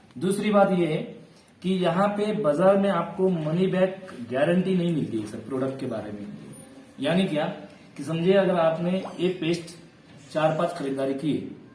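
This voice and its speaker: This man's voice is high-pitched for a man with ordinary pitch variation, set against noticeable background noise and audible room echo. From Maharashtra, India. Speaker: direct-selling business promoter. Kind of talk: sales pitch.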